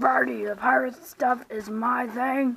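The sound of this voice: In a cartoonish character voice, a woman speaks at a fairly slow pace with a fairly high pitch, a fairly bright tone, a slightly husky edge, vocal fry and fairly even intonation.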